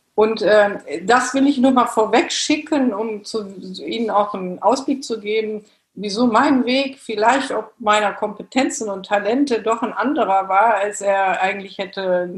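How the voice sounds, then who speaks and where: A woman speaks at a fairly slow pace in a fairly high, somewhat breathy voice with ordinary pitch variation. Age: 50s. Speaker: works council chair and bank supervisory board member. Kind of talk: interview.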